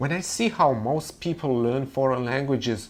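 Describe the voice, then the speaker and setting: With a Russian accent and lively intonation, the voice comes through with audible room echo. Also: man. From Russia, Moscow. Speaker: language teacher. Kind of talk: webinar lecture.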